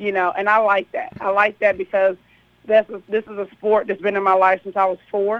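A woman with an American accent, medium in pitch, flat and monotone, at a moderate pace. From Kentucky. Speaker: girls' high school basketball coach. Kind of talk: radio interview.

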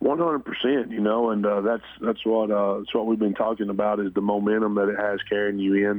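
A man at a fairly quick pace, with hardly any pauses, very even loudness and fairly even intonation, on a very clean recording with a silent background. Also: fairly low pitch for a man. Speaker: high school football coach. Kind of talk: radio interview. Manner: halting, filler-heavy.

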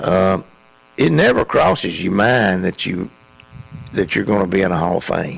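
A man with a Tennessee accent and a very deep, low pitch, at a moderate pace with long, frequent pauses and ordinary pitch variation, over noticeable background noise. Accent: Southern US (Tennessee). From Middle Tennessee, US South. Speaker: college basketball coach. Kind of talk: radio interview. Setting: studio.

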